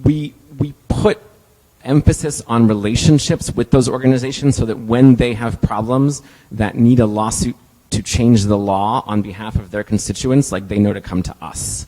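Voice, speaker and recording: Medium in pitch with ordinary pitch variation, a man's voice carries a dark, mellow tone. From Texas. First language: Spanish. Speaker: civil rights lawyer. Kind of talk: conference talk with audience Q&A. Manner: fast; halting, many fillers.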